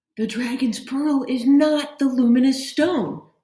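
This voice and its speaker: A put-on character voice, female-sounding and high in pitch, carries this clip. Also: fairly slow pace. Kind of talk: formal.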